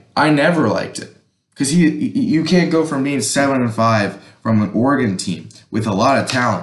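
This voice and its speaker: Over a quiet background with audible room echo, a man with vocal fry speaks at a fairly quick pace. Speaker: sports fan vlogger. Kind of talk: casual vlog commentary. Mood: frustrated, opinionated. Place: home room.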